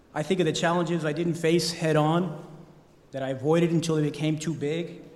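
With an American accent, the speaker talks at a moderate pace in a flat monotone, and room echo can be heard. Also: man. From Idaho, US. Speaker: academic counselor. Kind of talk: speech. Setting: chapel with audience.

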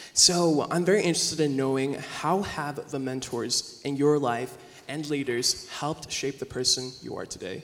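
A man with a fairly high pitch and ordinary pitch variation talks at a moderate pace as noticeable background noise continues. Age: 20s. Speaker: college student. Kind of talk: interview.

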